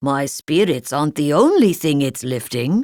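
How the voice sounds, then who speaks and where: Someone does a put-on character voice at a low-to-middle pitch and a moderate pace. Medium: read story. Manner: slow, gloomy, deadpan.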